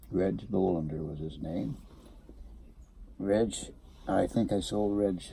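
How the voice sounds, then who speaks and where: At a very slow pace, a man talks in a very deep, low pitch. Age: 80s+. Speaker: retired car dealer. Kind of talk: casual chat.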